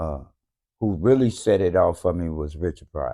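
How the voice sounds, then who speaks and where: A man with an American accent speaks in a very deep, low voice with a dark, mellow tone. His intonation is lively, and the background is quiet. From US South, Memphis, Tennessee. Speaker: comedian. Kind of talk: casual interview. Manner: halting, many fillers.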